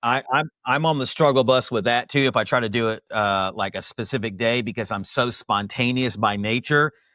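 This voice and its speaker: Loud and energetic, a man with a medium pitch speaks in a passionate tone at a fairly quick pace with hardly any pauses and ordinary pitch variation, in a very clean recording with a silent background and a dry, close sound with no echo. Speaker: podcast host interviewing insurance agents. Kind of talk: interview podcast. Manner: loud and fast; energetic, passionate.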